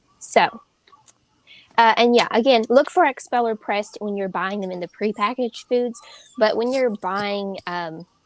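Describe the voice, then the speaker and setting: Dry, close sound with no echo, ordinary pitch variation and big swings in loudness. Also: woman, fairly high pitch for a woman. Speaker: health and nutrition guest. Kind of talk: live chat. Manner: fast.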